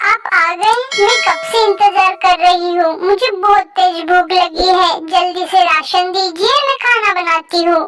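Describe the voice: A cartoonish character voice moves at a moderate pace with hardly any pauses. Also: woman, extremely high pitch for a woman.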